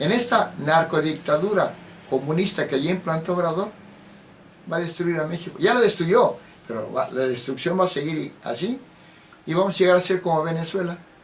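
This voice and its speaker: Through noticeable background noise, a man with a high pitch speaks at a moderate pace, leaving long, frequent pauses. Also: ordinary pitch variation. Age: 70s. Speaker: political commentator. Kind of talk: political monologue.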